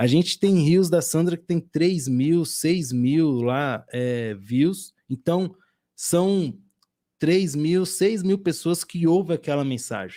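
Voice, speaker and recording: Very slow in pace, a man with a dark, mellow tone and a fairly high pitch speaks with lively intonation on a very clean recording with a silent background. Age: 30s. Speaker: podcast host. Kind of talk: casual chat.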